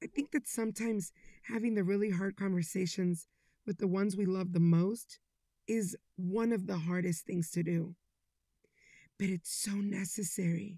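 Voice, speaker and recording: The voice has a dark, mellow tone and is somewhat breathy, with long, frequent pauses. The recording is very clean, dry and close with no echo, over a silent background. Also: woman, medium pitch for a woman, moderate pace, very even loudness. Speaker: podcast host. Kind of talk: inspirational monologue. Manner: animated.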